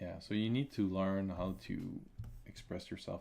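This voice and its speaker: This man has a very deep, low voice and a non-native accent. He speaks at a moderate pace with fairly even intonation. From Quebec. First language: French. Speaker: comic artist and illustrator; comic artist streamer. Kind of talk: live-stream drawing commentary; live drawing tutorial commentary. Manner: halting, many fillers and repetitions. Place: home room.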